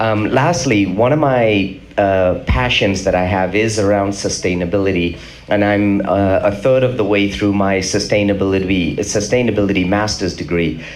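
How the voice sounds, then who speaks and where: With audible room echo and noticeable background noise, a man speaks at a fairly low pitch and very even loudness. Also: ordinary pitch variation, moderate pace, hardly any pauses. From England. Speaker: business executive. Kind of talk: panel discussion.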